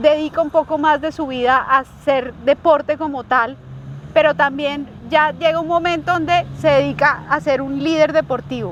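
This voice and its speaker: A woman with a high pitch speaks at a fairly slow pace with fairly even intonation, over noticeable background noise. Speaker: movement and wellness coach. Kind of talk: interview host questions.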